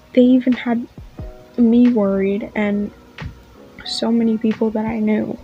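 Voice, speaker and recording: A woman's fairly high voice, fairly slow with long, frequent pauses, music playing in the background. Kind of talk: casual opinion rant to camera. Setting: home recording with fan noise in background.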